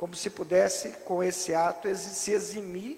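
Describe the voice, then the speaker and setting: A man talks at a fairly slow pace in a high, animated voice. His pitch variation is ordinary. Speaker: preacher. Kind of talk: sermon. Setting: church. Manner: animated, rhetorical, asks the congregation questions; teaching, stops the reader to explain each passage.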